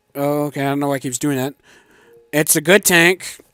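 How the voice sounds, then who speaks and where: A man speaks over background music, the sound dry and close with no echo. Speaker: gaming video creator. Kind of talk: casual tank review monologue. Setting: home garage. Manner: fast.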